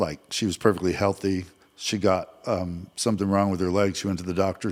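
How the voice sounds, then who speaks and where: A man with an American accent speaks at a moderate pace in a fairly low voice, a plain, everyday voice, on a very clean recording with a silent background. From Vermont, US. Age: 60s. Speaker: mortgage loan officer. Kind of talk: casual chat.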